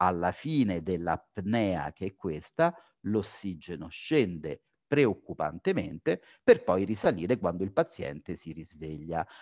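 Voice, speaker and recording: A man at a very slow pace with very wide pitch swings, in a dry, close sound with no echo. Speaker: physician, sleep-disordered breathing specialist. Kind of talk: lecture. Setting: video call.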